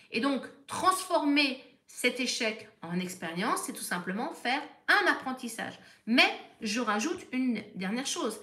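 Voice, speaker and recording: A high-pitched woman speaks at a fairly slow pace with very wide pitch swings and big swings in loudness. The recording has audible room echo and noticeable background noise. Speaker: therapist. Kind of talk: live stream talk.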